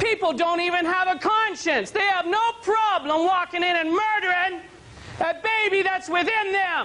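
Shouting in an excited tone with a raised, projected voice, a man reaches an extremely high pitch at a fairly slow pace while keeping very even loudness. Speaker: televangelist. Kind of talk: TV sermon broadcast. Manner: excited, ranting, shouting. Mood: angry, indignant. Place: studio. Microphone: lapel.

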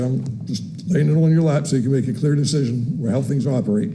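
Very fast male speech with fairly even intonation and audible room echo. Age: 60s. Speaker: city employee speaking at public comment. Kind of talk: public comment at council meeting. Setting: city commission meeting chamber. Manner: halting, many fillers.

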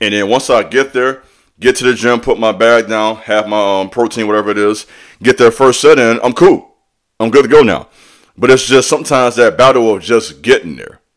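Against a quiet backdrop, a man speaks fairly quickly, his pitch varying in an ordinary way. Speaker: fitness vlogger. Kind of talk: casual vlog chat. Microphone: studio mic.

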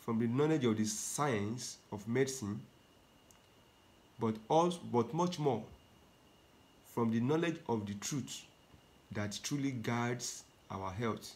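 A man speaks at a very slow pace with long, frequent pauses. His pitch shows ordinary variation. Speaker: health teacher, preacher. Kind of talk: sermon. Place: home room. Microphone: phone near.

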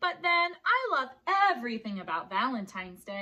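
Natural voice, reading.

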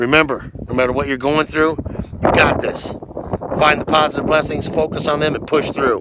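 Loud background noise surrounds a man speaking in a dry sound with no echo. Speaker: motivational vlogger. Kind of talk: motivational talk to camera. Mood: earnest, encouraging. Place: open country. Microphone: phone near.

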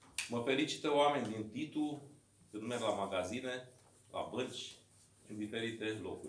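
A man speaks at medium pitch and a moderate pace, with ordinary pitch variation and long, frequent pauses. There is audible room echo along with light background noise. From Romania, Dâmbovița county (Braniștea, rural); Romania. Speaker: mayor and political candidate; mayor, candidate. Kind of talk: campaign speech. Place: meeting room. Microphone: camera far.

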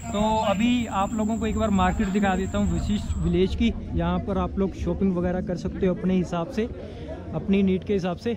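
A man at a moderate pace, with music playing in the background. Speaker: travel vlogger. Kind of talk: casual vlog chat. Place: market. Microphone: phone near.

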